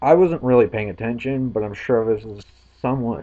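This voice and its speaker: A man talks at a fairly quick pace in a dark, mellow tone. His pitch is medium, with ordinary variation. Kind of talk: amateur stand-up comedy.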